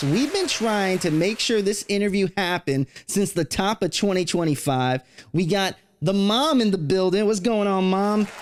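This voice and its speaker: A man with a high pitch speaks at a moderate pace, his pitch varying in an ordinary way and his loudness very even. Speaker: podcast host. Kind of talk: show intro. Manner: upbeat.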